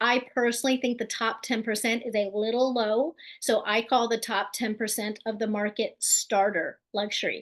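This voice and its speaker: A woman with a fairly high voice speaks at a moderate pace in a monotone, flat intonation, with hardly any pauses. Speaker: real estate agent and team leader. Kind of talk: webinar presentation. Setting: online webinar.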